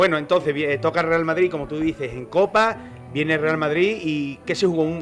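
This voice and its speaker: Music plays behind a man's voice. He speaks at fairly high pitch with ordinary pitch variation. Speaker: interviewer. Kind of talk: casual interview questions.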